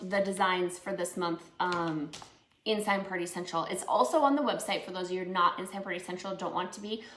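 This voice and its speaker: The speaker has an American accent, and room echo is audible. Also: woman. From Minnesota. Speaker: crafts instructor and small business owner. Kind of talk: live painting tutorial. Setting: live stream. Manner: casual, many filler words.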